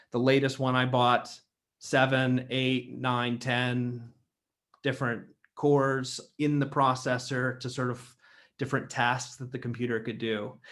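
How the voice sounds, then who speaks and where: Here a man speaks at medium pitch and a fairly slow pace. His intonation is monotone and flat. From Ohio, USA. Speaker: theologian, institute founder. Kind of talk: lecture talk. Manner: casual, conversational.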